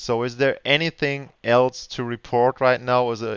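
A man with a German accent speaks at a moderate pace and medium pitch. His intonation stays fairly even. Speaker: podcast host. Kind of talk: interview. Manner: halting.

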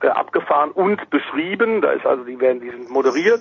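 A man's lively intonation and fairly quick pace come through over noticeable background noise. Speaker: motorsport commentator. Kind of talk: casual chat.

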